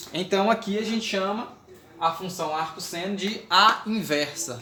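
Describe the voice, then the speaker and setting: A raised, projected voice carries at a fairly slow pace with ordinary pitch variation. Noticeable background noise and audible room echo surround it. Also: man. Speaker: math teacher. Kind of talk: lecture. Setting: recorded video lesson.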